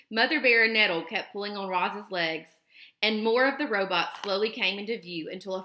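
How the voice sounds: Reading done in a natural reading voice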